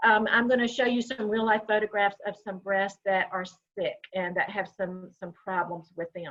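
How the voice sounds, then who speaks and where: A woman talks with a Southern US accent at a moderate pace. Her pitch sits fairly high. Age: 60s. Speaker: breast health educator. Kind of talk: online workshop presentation. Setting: video call.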